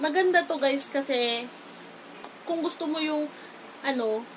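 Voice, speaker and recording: A woman talks loudly at a fairly slow pace with ordinary pitch variation. There is noticeable background noise. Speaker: beauty vlogger. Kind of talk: makeup tutorial. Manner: casual, chatty.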